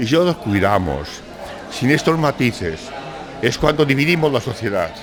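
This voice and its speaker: A man's animated voice at a medium pitch and moderate pace, full of very wide pitch swings, with audible room echo and noticeable background noise. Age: 60s. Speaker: writer. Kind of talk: panel discussion. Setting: bar with audience.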